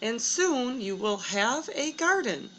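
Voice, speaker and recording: A high-pitched woman in a put-on character voice, at a fairly slow pace. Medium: read story.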